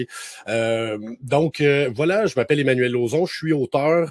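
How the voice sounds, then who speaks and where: Someone speaks with a Quebec accent and ordinary pitch variation. The sound is dry and close with no echo, and background noise is noticeable. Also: man. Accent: Québécois French. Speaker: author and speaker. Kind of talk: talk. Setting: webinar. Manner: fast; animated.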